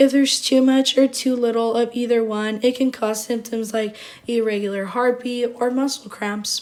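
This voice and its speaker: A woman speaks in a high voice at a moderate pace with hardly any pauses. Her intonation is monotone and flat, and there is noticeable background noise. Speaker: nursing student. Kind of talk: class presentation.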